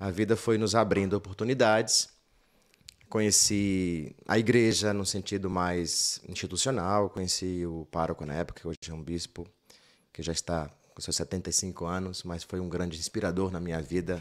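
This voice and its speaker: In a very clean recording with a silent background, a man talks at a moderate pace with a very deep, low pitch and fairly even intonation. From Bahia, Brazil (rural interior). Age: 50s. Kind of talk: casual interview chat.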